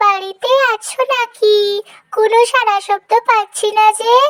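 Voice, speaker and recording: A squeaky, cartoonish character voice at an extremely high pitch holds a monotone, flat intonation at a fairly slow pace. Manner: eager, wheedling.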